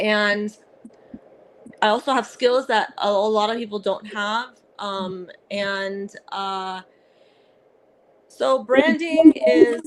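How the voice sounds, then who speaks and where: A woman with a fairly high pitch and lively intonation speaks at a very slow pace, leaving long, frequent pauses while her loudness swings widely. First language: Arabic. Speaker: comedian and actress. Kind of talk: casual interview. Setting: podcast. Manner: halting, many fillers.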